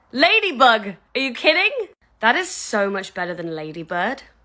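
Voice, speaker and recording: A woman with a British accent speaks at a fairly high pitch and a fairly slow pace. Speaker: content creator. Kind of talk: casual chat. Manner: animated.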